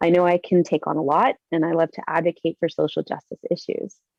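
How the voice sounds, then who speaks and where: A woman with a dark, mellow tone and a fairly low pitch speaks at a fairly quick pace, the sound dry and close with no echo. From London, Ontario, Canada (Guatemalan family). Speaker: community speaker. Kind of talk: personal presentation talk.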